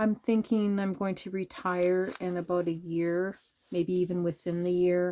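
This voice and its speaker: At a fairly slow pace, a woman speaks in a fairly low, flat, monotone voice. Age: 60s. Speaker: junk journal crafter, YouTuber. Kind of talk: casual chat while showing a craft journal. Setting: home basement craft room. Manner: casual, hesitant with many fillers.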